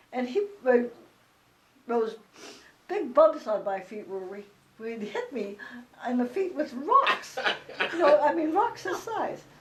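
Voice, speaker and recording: Very wide pitch swings and big swings in loudness at a fairly slow pace, with long, frequent pauses and noticeable background noise. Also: woman, high pitch for a woman. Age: 80s+. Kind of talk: oral history interview answer. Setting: at home.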